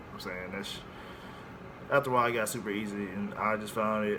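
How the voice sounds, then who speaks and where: The man's voice is fairly low, with a monotone, flat intonation and a fairly quick pace. Audible room echo and noticeable background noise are present. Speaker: air force recruit vlogger. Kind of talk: casual vlog. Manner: casual, hesitant with fillers.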